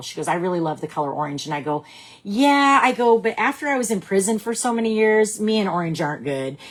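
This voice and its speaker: A woman speaks loudly at a fairly quick pace, her medium pitch swinging very widely in an animated tone. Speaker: direct sales team leader. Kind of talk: live stream talk to team.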